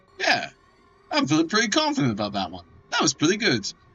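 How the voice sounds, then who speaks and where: Music sounds in the background. Over it, a man talks at a fairly quick pace. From Scotland. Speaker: video game streamer. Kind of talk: live gameplay commentary. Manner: animated.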